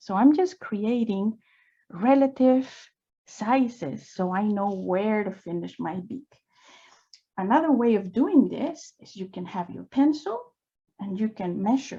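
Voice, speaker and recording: With a non-native accent, a woman speaks at a fairly slow pace in a fairly high, somewhat breathy voice of dark, mellow tone, her intonation lively, her loudness swinging widely and her speech broken by long, frequent pauses. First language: not English. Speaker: drawing instructor. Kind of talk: live drawing tutorial. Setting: live online session. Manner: casual and encouraging.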